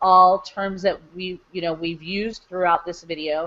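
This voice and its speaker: A woman speaks with a fairly low pitch. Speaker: online marketing coach. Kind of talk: live webinar tutorial. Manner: fast.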